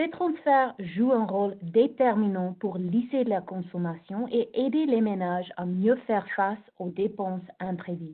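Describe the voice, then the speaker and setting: A woman at medium pitch, lively in intonation, speaking at a fairly slow pace with hardly any pauses. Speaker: researcher presenting a report. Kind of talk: presentation. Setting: video call webinar.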